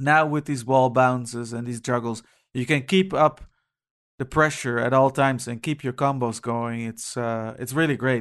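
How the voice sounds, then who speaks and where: In a normal speaking voice, a man talks at a moderate pace and medium pitch with fairly even intonation against a quiet background. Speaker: video game podcast panelist. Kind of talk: casual chat.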